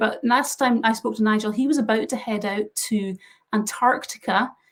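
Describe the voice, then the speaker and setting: With a Scottish accent, a woman speaks at a fairly high pitch and with fairly even intonation. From west coast of Scotland. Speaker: interviewer for a camera filter brand. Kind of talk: casual interview on a live stream.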